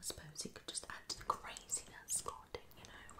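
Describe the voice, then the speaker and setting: A woman whispers. She keeps a moderate pace. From UK. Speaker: ASMR creator. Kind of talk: ASMR video. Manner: soft-spoken. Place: home room. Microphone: phone near.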